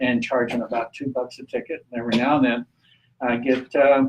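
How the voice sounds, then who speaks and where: At a fairly quick pace, a man with a Texan accent speaks at medium pitch. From Texas, Amarillo (Texas Panhandle). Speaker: renewable energy activist and guest speaker. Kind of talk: talk at a public meeting. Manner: casual, halting with fillers.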